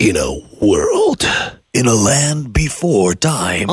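A man puts on a raspy character voice with a fairly high pitch. He talks at a very slow pace. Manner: dramatic, gravelly.

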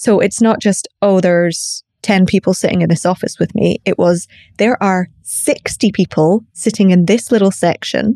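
At a moderate pace with hardly any pauses, a woman speaks at a medium pitch with ordinary pitch variation, very even loudness, and a dark, mellow tone, in a dry, close sound with no echo. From Scotland. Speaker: coach and facilitator. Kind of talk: casual interview chat. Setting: podcast interview.

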